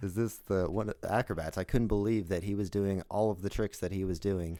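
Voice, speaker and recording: A man with a Californian accent talks at a fairly quick pace in a dark, mellow tone with fairly even intonation, on a very clean recording with a silent background. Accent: Californian American. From Los Angeles. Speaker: podcast host and acrobat. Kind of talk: podcast interview. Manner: casual.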